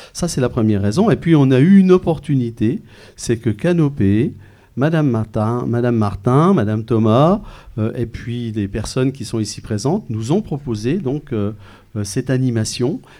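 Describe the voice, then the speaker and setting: A man with a medium pitch and a dark, mellow tone talks at a moderate pace with lively intonation. The recording is very clean, with a silent background. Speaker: school principal. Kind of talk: interview answers. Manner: hesitant.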